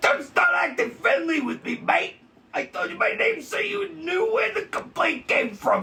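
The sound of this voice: A man uses a put-on character voice, extremely high in pitch with a bright, sharp tone. He moves at a fairly slow pace, his pitch swinging in big arcs.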